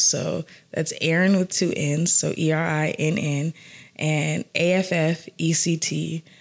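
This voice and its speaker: In an American accent, a woman talks at a very slow pace with a very deep, low pitch and fairly even intonation. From US South, Atlanta. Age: 30s. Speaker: entrepreneur in the music industry. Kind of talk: casual interview. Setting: live recording.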